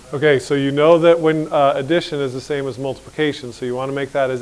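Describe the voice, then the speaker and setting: Over noticeable background noise, the speaker goes at a fairly quick pace with monotone, flat intonation. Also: man. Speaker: high school math teacher. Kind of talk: classroom lecture. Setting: classroom with students. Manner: fast.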